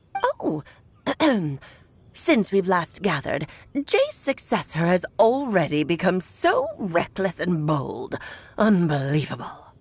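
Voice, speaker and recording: Putting on a character voice, a woman talks at a fairly slow pace and medium pitch, with long, frequent pauses. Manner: haughty, disapproving.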